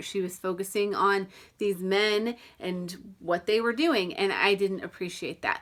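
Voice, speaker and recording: With a Southern US accent, a woman talks at a medium pitch and a moderate pace. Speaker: book reviewer. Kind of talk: book review vlog.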